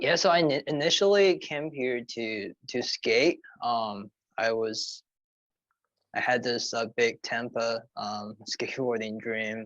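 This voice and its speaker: A man with a Chinese accent speaks at a very slow pace in a medium pitch. The recording is dry and close, with no echo. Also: lively intonation. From China. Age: 30s. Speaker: sneaker brand co-founder. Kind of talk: podcast interview.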